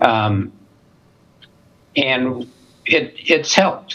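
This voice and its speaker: This man speaks with an American accent. His pitch varies in an ordinary way. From US Midwest, Minneapolis, Minnesota. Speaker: spine surgeon and medical school dean. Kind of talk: interview. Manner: conversational, with fillers.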